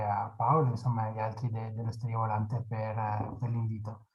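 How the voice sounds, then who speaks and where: A man's dark, mellow, somewhat breathy voice with a strong Venetian accent. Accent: marked Venetian. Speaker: sociologist, political science researcher. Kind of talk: lecture. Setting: video call. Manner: hesitant, many fillers.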